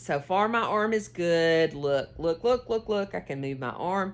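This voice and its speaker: With an American accent, a woman talks at a moderate pace in a fairly low pitch, her pitch varying in an ordinary way. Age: 60s. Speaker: knitting and cooking vlogger. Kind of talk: casual chat while knitting. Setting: home, filming on a tripod. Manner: rambling, halting with fillers.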